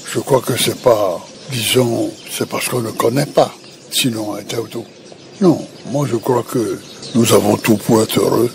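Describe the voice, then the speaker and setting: Over noticeable background noise, a man with a medium pitch talks at a fairly slow pace with fairly even intonation and long, frequent pauses. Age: 80s+. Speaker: former president. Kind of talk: interview answer. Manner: hesitant, halting.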